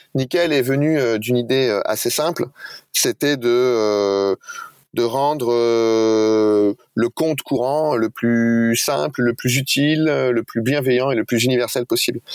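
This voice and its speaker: At a very slow pace, a man speaks in a medium pitch, and the sound is dry and close with no echo. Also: ordinary pitch variation, very even loudness. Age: 40s. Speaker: bank executive. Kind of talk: interview.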